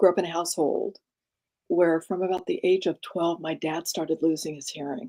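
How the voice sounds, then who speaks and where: Her dark, mellow tone sits at a medium pitch for a woman, captured with a dry, close sound with no echo. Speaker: executive coach. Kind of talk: interview conversation.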